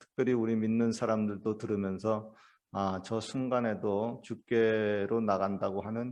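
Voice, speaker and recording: A man speaks slowly-ish, at a fairly slow pace, with fairly low pitch. His intonation is monotone and flat against a quiet background. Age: 60s. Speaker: pastor. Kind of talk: sermon. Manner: hesitant, many fillers.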